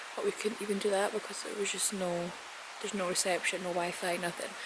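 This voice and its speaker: A woman with a Scottish accent speaks at a fairly quick pace. The sound is dry with no echo, but background noise is noticeable. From Scotland. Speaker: lifestyle vlogger; travel vlogger. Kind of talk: casual vlog talk to camera. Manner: speaking quietly. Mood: relaxed, chatty. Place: garden. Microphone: phone near.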